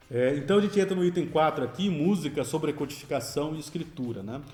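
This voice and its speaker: The speech moves at a fairly quick pace with lively intonation. Audible room echo and noticeable background noise fill the recording. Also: man. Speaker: composer and music lecturer. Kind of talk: lecture. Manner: fast.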